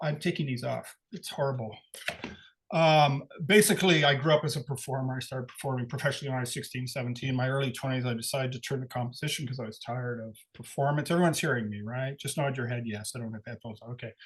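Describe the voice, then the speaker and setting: Somewhat breathy, a man speaks very fast at a medium pitch with ordinary pitch variation. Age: 60s. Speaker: composer. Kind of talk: talk to a live audience. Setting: live event with audience. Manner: halting.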